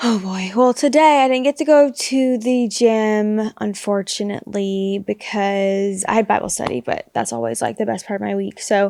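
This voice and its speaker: Soft-spoken and fairly slow, a woman with an American accent uses a fairly high pitch, ordinary pitch variation and a dark, mellow tone. The recording is very clean, the background silent. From US South. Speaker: podcast co-host. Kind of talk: casual chat.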